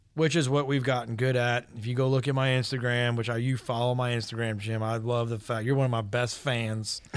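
A man's medium-pitched voice in an American accent, fairly quick and monotone, with flat intonation and hardly any pauses. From US South, Georgia (East Cobb, Atlanta area). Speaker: painting and siding contractor. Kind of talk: casual radio interview.

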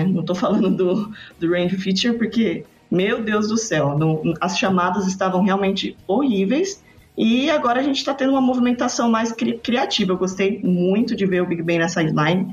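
Against background music, a woman talks at a moderate pace and medium pitch, with ordinary pitch variation and very even loudness. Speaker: sports podcaster. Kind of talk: casual chat.

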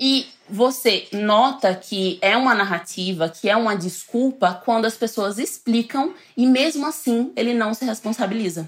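Against noticeable background noise, a woman talks at a fairly slow pace with a fairly high pitch and ordinary pitch variation. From Northeast Brazil, coastal. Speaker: researcher, futurist, communication scholar. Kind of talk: casual interview chat.

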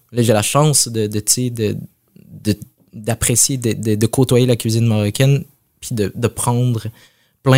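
A dark, mellow tone in a flat monotone, dry and close with no echo, on a very clean recording with a silent background. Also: man. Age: 30s. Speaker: chef. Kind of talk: interview. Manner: halting.

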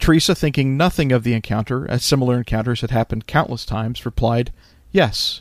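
A man speaks very fast in a serious tone, at a medium pitch with ordinary pitch variation. The recording is very clean, with a silent background. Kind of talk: true-crime narration. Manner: measured, steady, serious storytelling delivery.

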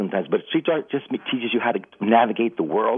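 A man speaks in a New York accent. His pace is fairly quick and his pitch varies in an ordinary way. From New York City (Bronx). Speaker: radio caller. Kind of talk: call-in testimony. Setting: phone call.

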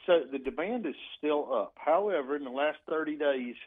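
Lively intonation and a moderate pace mark this speaker in a Southern US accent. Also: man. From US South, South Carolina. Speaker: equipment auctioneer. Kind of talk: interview.

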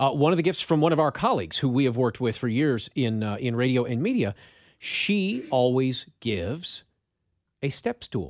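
A man with an unremarkable speaking voice talks at a medium pitch and moderate pace. His intonation is lively, and the recording is very clean with a silent background. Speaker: radio co-host. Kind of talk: casual talk radio chat.

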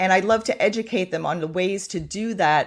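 A plain, everyday voice: a woman, fairly low-pitched, with lively intonation at a fairly quick pace. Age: 60s. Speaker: menopause expert and health coach. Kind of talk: interview.

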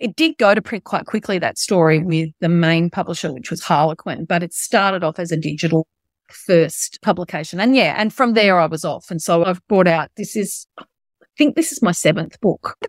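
A woman's fairly low-pitched voice with an Australian accent, at a moderate pace with ordinary pitch variation. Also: dry, close sound with no echo, very clean recording, silent background. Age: 50s. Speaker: novelist. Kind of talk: interview.

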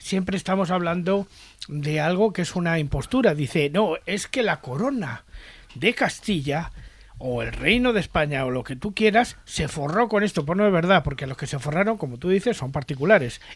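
A man speaks at a moderate pace in a high voice with lively intonation. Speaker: podcast co-host. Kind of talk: casual chat.

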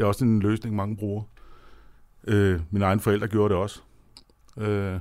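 In a very clean recording with a silent background, a man talks at a fairly quick pace, his fairly low voice held in a monotone, flat intonation. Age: 50s. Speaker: chairman of atheist society, former Jehovah's Witness. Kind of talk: radio interview. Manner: halting.

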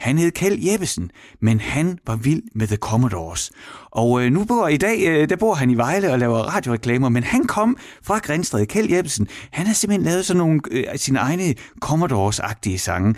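A man talks at a moderate pace in a fairly high voice with very wide pitch swings. His loudness stays very even. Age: 40s. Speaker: radio host. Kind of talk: casual chat.

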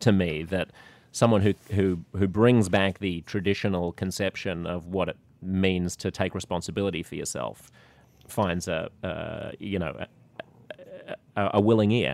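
A man with an Australian accent, fairly low in pitch, at a moderate pace with fairly even intonation, in a dry, close recording with no echo, very clean and with a silent background. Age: 40s. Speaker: podcast host. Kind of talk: casual interview conversation.

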